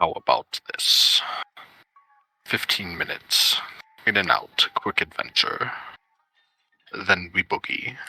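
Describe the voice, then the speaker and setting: A man's put-on character voice at a fairly slow pace, full of long, frequent pauses. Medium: actual play. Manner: brisk, casual.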